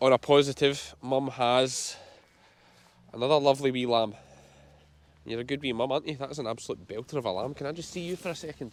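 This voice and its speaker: A man at a medium pitch, very fast between long, frequent pauses, with a strong Scottish accent and ordinary pitch variation. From Scotland, Ayrshire. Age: 30s. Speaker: sheep farmer. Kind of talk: casual vlog commentary. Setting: outdoors.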